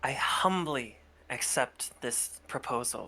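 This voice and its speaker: Using a put-on character voice, the speaker goes at a fairly slow pace with a low-to-middle pitch. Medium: actual play. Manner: formal, courteous.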